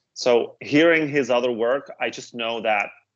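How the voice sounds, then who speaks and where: A man with a Dutch accent speaks with fairly even intonation. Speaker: music reviewer, podcast co-host. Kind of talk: casual chat. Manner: hesitant, many fillers.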